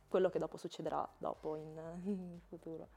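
A woman's fairly low, dark, mellow voice holds a monotone, flat intonation at a moderate pace. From Italy. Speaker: former exchange student; guest. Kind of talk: interview; interview answer. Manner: halting, many repetitions. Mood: relaxed, friendly. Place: studio. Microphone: lapel.

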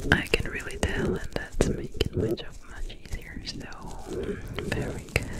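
The voice is soft-spoken. Loud noise fills the background. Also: woman. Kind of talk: ASMR role-play talk. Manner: soft, close ASMR doctor voice. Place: home room. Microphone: studio mic.

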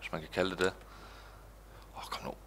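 The tone is bright and sharp. It belongs to a man. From Denmark. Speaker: gaming YouTuber. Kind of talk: let's play commentary. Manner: animated. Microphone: headset.

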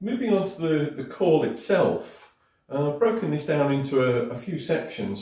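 A man at a moderate pace, with audible room echo over a quiet background. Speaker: sales trainer. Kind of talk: tutorial. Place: home room. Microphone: camera far.

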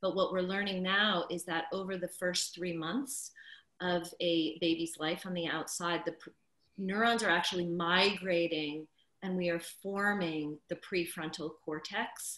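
In a bright, sharp tone, the voice moves at a fairly slow pace with fairly even intonation, audible room echo and a quiet background. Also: woman, fairly low pitch for a woman. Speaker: childbirth educator and doula. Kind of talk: casual interview chat. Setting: video call. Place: home room. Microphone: video call.

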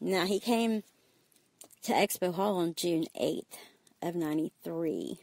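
A woman with an Alabama accent, fairly low in pitch, at a very slow pace with long, frequent pauses and fairly even intonation, in a dry, close sound with no echo. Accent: Southern US (Alabama). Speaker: parent interviewed by her child. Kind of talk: casual storytelling interview.

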